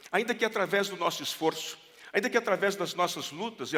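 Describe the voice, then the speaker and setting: A man's voice with ordinary pitch variation. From Brazil. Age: 70s. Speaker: pastor. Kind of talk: sermon. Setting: church.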